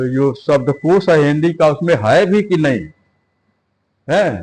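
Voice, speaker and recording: A man speaks with ordinary pitch variation. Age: 70s. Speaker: retired government officer and PhD scholar. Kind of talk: interview. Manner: formal.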